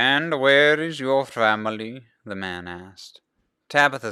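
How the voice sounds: The reading voice sounds natural, its pitch varying in an ordinary way against a quiet background.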